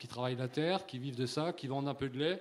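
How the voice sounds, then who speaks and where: A man with a slight Alsatian accent speaks at a moderate pace. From Alsace, France. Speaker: livestock farmer. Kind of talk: panel discussion. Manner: halting.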